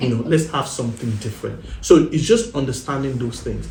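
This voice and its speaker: Speaking fairly quickly, a man has a medium pitch and a somewhat breathy voice. Audible room echo surrounds him. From Nigeria. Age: 30s. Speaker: married guest sharing relationship experience. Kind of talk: podcast interview.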